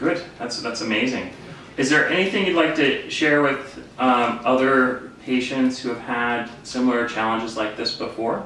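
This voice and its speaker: A man with a medium-pitched voice speaks at a moderate pace with ordinary pitch variation over noticeable background noise. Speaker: doctor. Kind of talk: interview questions.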